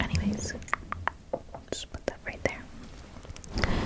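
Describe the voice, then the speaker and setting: A woman whispers very slowly against noticeable background noise. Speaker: ASMR creator. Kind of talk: ASMR shopping haul. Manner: whispered, soft-spoken.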